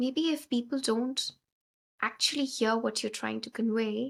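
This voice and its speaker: On a very clean recording with a silent background, a woman with an unremarkable speaking voice talks at a moderate pace, her fairly high pitch carried by fairly even intonation. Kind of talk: podcast host interview.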